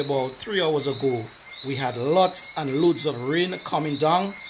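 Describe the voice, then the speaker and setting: A man talks at a moderate pace, his pitch fairly high. Ordinary pitch variation carries over noticeable background noise. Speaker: community affairs show host. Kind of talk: live video walkthrough talk to camera.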